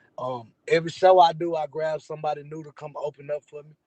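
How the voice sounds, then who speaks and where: With an American accent, a man talks fairly fast at a fairly high pitch, somewhat breathy, in a dry, close sound with no echo. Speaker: rapper. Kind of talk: casual interview. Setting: in a car. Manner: laid back.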